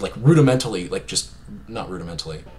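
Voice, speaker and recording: A man rattles off his words at a very fast pace amid noticeable background noise. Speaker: gaming streamer and vlogger. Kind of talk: casual unscripted vlog monologue. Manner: halting, stuttering with many fillers; casual, rambling.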